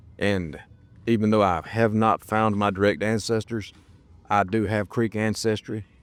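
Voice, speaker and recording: A man with a Southern US accent speaks in a relaxed tone at a moderate pace, his fairly low pitch delivered with monotone, flat intonation and very even loudness. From US South, South Alabama / North Florida. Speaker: travel vlogger. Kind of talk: walking vlog narration. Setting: outdoors and in a small museum. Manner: relaxed, conversational; halting, repeats words.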